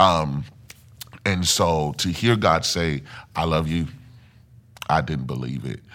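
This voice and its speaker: A man's very deep, low voice with a Mississippi accent, a bright, sharp tone, vocal fry and ordinary pitch variation. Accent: Southern US (Mississippi). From US South, Mississippi. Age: 30s. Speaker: church singer and testimony guest. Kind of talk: personal testimony. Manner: hesitant, many fillers.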